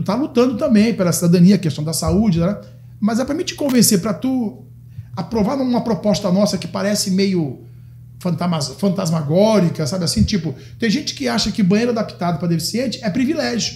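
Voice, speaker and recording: A man speaks at a fairly quick pace with a high pitch that swings very widely. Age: 60s. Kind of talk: podcast interview. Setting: studio. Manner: animated.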